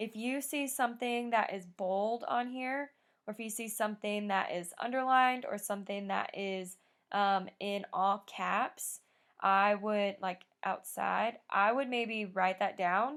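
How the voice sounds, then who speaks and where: On a very clean recording with a silent background, a woman with an ordinary speaking voice talks at a medium pitch and a fairly slow pace with fairly even intonation. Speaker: schoolteacher. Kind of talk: recorded lesson.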